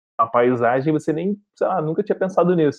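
At a fairly quick pace, a man talks in an ordinary speaking voice, fairly high in pitch with ordinary pitch variation. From Rio de Janeiro, Brazil. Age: 30s. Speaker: travel content creator. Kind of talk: podcast interview.

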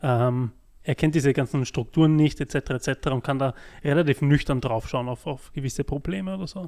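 In a dark, mellow tone, a man speaks at a fairly high pitch and moderate pace with ordinary pitch variation, on a very clean recording with a silent background. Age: 30s. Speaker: podcast host, project manager. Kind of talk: casual interview.

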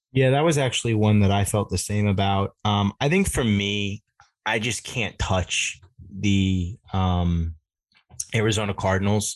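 A normal speaking voice from a man, fairly low in pitch, at a fairly slow pace, with ordinary pitch variation, very even loudness and a quiet background. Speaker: fantasy football podcast host. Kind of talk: casual banter.

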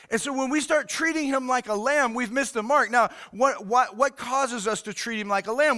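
In a raised, projected voice, a man with an American accent speaks with lively intonation. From Oklahoma City, Oklahoma. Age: 50s. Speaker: pastor. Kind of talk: sermon. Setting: recorded church service streamed online. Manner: animated.

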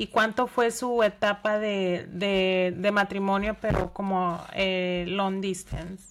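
A woman's very slow, monotone, flat delivery with hardly any pauses and noticeable background noise. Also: medium pitch for a woman. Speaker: podcast host. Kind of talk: interview.

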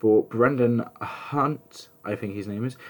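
A man talks with an English accent. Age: 20s. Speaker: podcast host and musical theatre student. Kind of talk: casual solo podcast talk.

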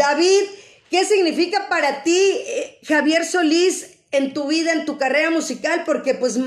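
Her voice is pitched extremely high and moves at a fairly slow pace, with lively intonation. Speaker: radio host. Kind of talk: live-streamed radio interview. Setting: online video stream.

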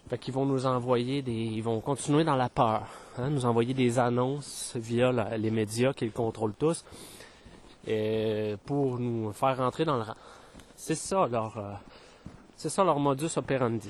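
Medium pitch from a man, very slow pace with long, frequent pauses, and ordinary pitch variation. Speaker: spiritual podcaster. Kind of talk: spiritual monologue. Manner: hesitant, many fillers.

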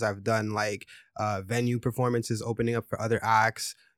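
A man's medium-pitched voice with a Montreal accent and monotone, flat intonation. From Montreal, Quebec. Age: 30s. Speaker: musician. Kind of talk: casual chat.

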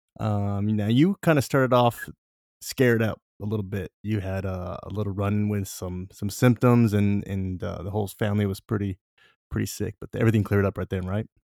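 A man with an American accent and a plain, everyday voice speaks at a fairly quick pace and a fairly low pitch, with fairly even intonation, in a very clean recording with a silent background and a dry, close sound with no echo. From Southern California. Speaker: podcast host, grilling content creator. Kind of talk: casual chat; interview.

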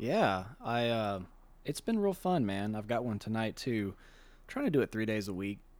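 On a very clean recording with a silent background, a man with an American accent and a plain, everyday voice speaks at a moderate pace with medium pitch and ordinary pitch variation. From US South, Shreveport, Louisiana. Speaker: bass player. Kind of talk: casual chat.

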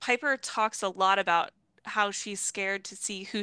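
A bright, sharp tone marks a woman speaking at a medium pitch with ordinary pitch variation, on a very clean recording with a silent background and a dry, close sound with no echo. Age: 20s. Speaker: book podcast co-host. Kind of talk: casual chat.

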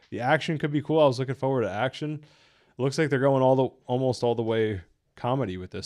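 Against a quiet background, a man speaks in a normal speaking voice. His pitch is medium, with ordinary variation. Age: 30s. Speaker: YouTube podcast host reviewing animated movies. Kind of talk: live reaction stream. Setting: live stream.

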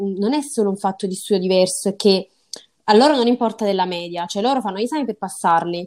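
A woman speaks in a plain, everyday voice at a medium pitch and a fairly quick pace. The recording is very clean with a silent background, and her pitch varies in an ordinary way. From southern Italy, Salerno. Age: 20s. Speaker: medical student on Erasmus. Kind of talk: interview.

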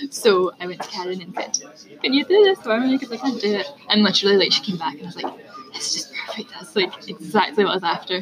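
Noticeable background noise sits behind a woman talking at a very fast pace. Her volume rises and falls sharply. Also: medium pitch for a woman, lively intonation. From Scotland. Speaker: marketing business owner. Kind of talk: casual interview chat. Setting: public place with people around.

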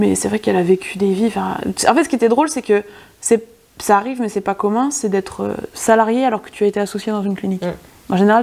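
This woman has an unremarkable speaking voice. Her pitch is medium and varies in an ordinary way. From France, rural area near Bourgueil (Touraine). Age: 20s. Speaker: veterinary student. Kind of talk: casual interview chat.

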